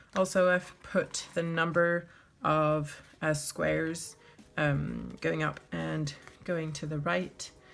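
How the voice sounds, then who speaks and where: A woman speaking very slowly over music in the background. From France. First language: French. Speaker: bullet journal YouTuber. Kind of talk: tutorial. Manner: hesitant, many fillers.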